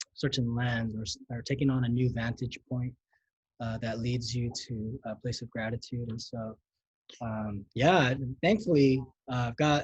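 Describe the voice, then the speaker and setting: With a Californian accent, a man speaks at a fairly slow pace in a somewhat breathy voice with fairly even intonation. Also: medium pitch for a man. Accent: Californian American English. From Los Angeles, US. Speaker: pastor. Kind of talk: casual interview chat. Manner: casual, slangy.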